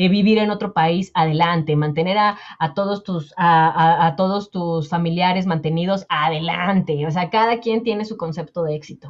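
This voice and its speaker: Against a quiet background, a woman with a fairly low pitch speaks at a moderate pace, with fairly even intonation and hardly any pauses. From Mexico. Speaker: personal finance coach. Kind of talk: interview conversation. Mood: warm, reflective, personal. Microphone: earbuds.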